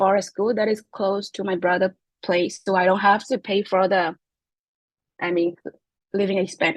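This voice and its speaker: A woman's medium-pitched voice with a Myanmar accent, at a moderate pace, with a dry, close sound and no echo. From Myanmar (Chin ethnic group). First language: Chin. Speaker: graduate student. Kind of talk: interview. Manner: halting, many fillers.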